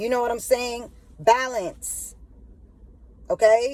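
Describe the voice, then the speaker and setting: This woman has a fairly high pitch. Her tone is dark and mellow. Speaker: spiritual video host. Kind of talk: casual monologue. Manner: halting, repetitive.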